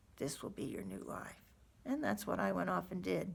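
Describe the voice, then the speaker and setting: A woman's voice with vocal fry. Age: 60s. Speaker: patient advocate. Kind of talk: testimony.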